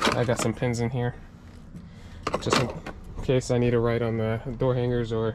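Loud background noise around a man's moderately paced speech. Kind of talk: casual vlog chat. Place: car. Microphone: phone near.

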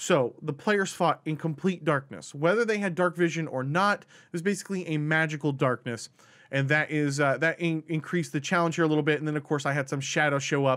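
A man speaks at a fairly quick pace with hardly any pauses and ordinary pitch variation. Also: quiet background. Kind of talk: tutorial commentary on a tabletop game encounter.

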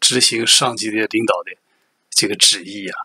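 The man's voice comes through dry, with no echo, over a quiet background. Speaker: political commentator. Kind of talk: commentary. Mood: critical, relaxed, smiling. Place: home room. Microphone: webcam.

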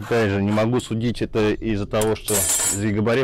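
Over faint background noise, a man talks at fairly low pitch with a slightly mellow tone and fairly even intonation.

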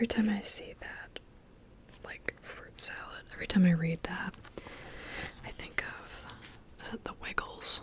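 Whispering at a fairly slow pace, a woman leaves long, frequent pauses while her loudness swings widely. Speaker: ASMR creator. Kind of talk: ASMR casual ramble. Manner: whispered, soft-spoken. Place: home room. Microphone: studio mic.

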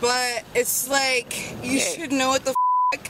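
In a put-on character voice, someone mumbles at a high pitch and fairly slow pace over loud background noise and sound effects. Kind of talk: heated conversation with officer. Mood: upset, frustrated.

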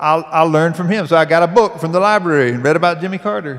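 A man with a Southern US accent talks at a very fast clip in a high voice, his pitch rising and falling in an ordinary way. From US South. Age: 30s. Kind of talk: panel discussion. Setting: stage with audience. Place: stage. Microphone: handheld.

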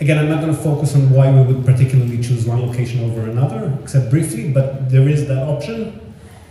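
The speech runs at a very fast pace with hardly any pauses and ordinary pitch variation. Light background noise and audible room echo are present. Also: man. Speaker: real estate consultant. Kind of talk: seminar presentation. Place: hall.

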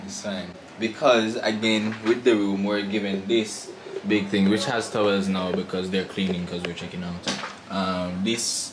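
A man talks at a moderate pace in a fairly low pitch with monotone, flat intonation, over noticeable background noise. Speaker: travel vlogger. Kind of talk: casual vlog chat. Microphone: camera far.

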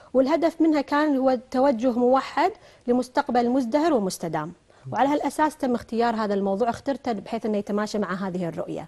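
A woman with a high pitch and a dark, mellow tone talks at a fairly quick pace with lively intonation. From Kuwait. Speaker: research institute official; guest. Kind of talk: TV interview. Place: studio. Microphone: lapel.

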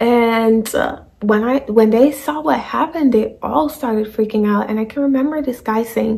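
Her pitch shifts in an ordinary way. The woman keeps to a moderate speed. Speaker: vlogger. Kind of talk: casual story time vlog. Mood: animated, dramatic retelling. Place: home room. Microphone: phone near.

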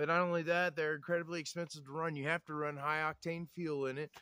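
A man speaks at a very fast pace. His tone is bright and sharp, and the sound is dry with no echo. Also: quiet background. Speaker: off-grid cabin vlogger. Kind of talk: casual vlog chat. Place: forest.

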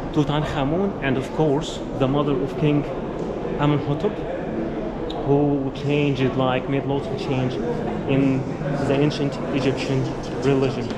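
A man speaks at a fairly slow pace with long, frequent pauses. Loud background noise surrounds him. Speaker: travel vlogger guide. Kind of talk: casual vlog tour commentary. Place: hall. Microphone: phone near.

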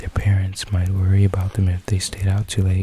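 A soft-spoken voice comes through a dry sound with no echo and light background noise. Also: man. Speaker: storyteller. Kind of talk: soft spoken story reading. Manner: soft ASMR bedtime reading voice. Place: home room. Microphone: studio mic.

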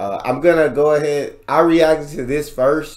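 At a fairly slow pace, a man is talking. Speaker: reaction youtuber. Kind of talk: casual video reaction, chatting to viewers. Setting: home recording, reacting to a video. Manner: animated, conversational, excitable.

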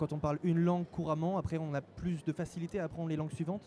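Over light background noise, a man with a high pitch talks at a very fast pace. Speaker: web TV presenter. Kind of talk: live event interview host. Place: hall. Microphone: handheld.

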